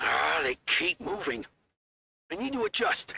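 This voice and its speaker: Using a put-on character voice, a man speaks at a moderate pace in a raspy, high-pitched register. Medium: video game. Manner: gruff, fatherly.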